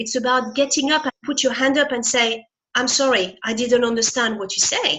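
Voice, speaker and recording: At a moderate pace, a woman with a high voice speaks in a French accent. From France. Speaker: motivational speaker. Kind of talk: interview.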